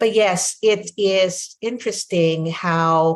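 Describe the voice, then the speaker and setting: A somewhat breathy woman with a Filipino accent and ordinary pitch variation. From Philippines. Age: 60s. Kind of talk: interview conversation.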